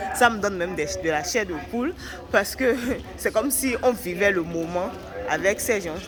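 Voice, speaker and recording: Lively intonation marks this woman's speech at a moderate pace, with long, frequent pauses. Audible room echo and noticeable background noise are present. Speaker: travel vlogger. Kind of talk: walking vlog commentary. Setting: walking through a museum exhibit. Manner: quiet, low voice; halting.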